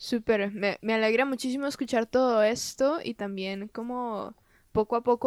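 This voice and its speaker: In a normal speaking voice, a woman talks at a moderate pace and fairly high pitch with fairly even intonation, on a very clean recording with a silent background. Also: dry, close sound with no echo. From Costa Rica. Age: 20s. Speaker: podcast host. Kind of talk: casual interview.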